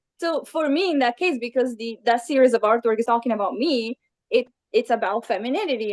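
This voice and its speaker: Fairly quick speech with an Italian accent comes across in a dry, close sound with no echo. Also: woman. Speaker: illustrator. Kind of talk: interview.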